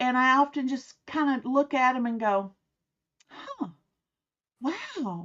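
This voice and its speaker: A woman with a high voice speaks in a Southern US accent at a very slow pace, with long, frequent pauses. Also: ordinary pitch variation. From US South. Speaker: author and private investigator. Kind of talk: interview.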